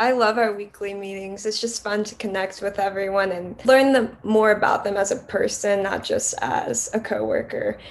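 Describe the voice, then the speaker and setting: At a moderate pace and with hardly any pauses, a woman speaks in an ordinary speaking voice, fairly high in pitch, with fairly even intonation. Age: 20s. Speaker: podcast editor and co-host. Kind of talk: casual chat.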